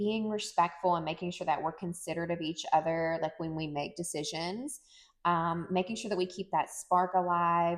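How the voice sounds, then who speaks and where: An ordinary speaking voice with fairly even intonation moves at a moderate pace against a quiet background. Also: woman, fairly low pitch for a woman. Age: 40s. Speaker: podcast co-host. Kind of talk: casual chat.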